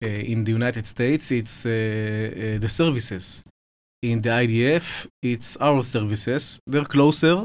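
A man with an Israeli accent speaks at a fairly slow pace and medium pitch, with ordinary pitch variation. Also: very clean recording, silent background. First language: Hebrew. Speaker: military officer, think tank head. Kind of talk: interview, explanatory. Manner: measured, hesitant with fillers.

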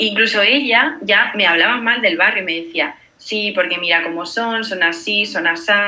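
A woman with ordinary pitch variation, hardly any pauses and audible room echo. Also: medium pitch for a woman, moderate pace. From Spain, Granada. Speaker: traveler. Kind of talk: casual chat. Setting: video call.

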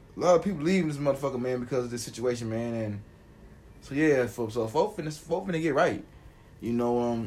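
Very fast delivery with lively intonation and audible room echo. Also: man, medium pitch for a man. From Atlanta area, Georgia. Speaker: podcast co-host. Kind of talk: casual chat.

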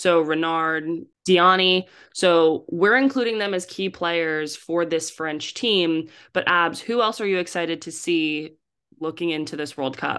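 Against a quiet background, a woman with a fairly low pitch and an unremarkable speaking voice talks at a fairly slow pace with ordinary pitch variation. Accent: American. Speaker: podcast co-host. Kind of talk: casual chat.

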